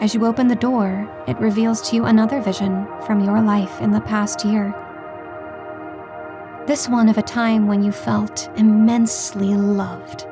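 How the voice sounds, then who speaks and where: Soothing, calm tone from a woman at a fairly slow pace, with long, frequent pauses and music in the background. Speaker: meditation guide. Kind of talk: guided meditation.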